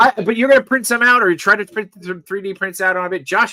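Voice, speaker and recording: A man's raised, projected voice, high in pitch with a bright, sharp tone, in a dry, close sound with no echo. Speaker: podcast host. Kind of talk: casual chat. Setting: live stream. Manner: fast.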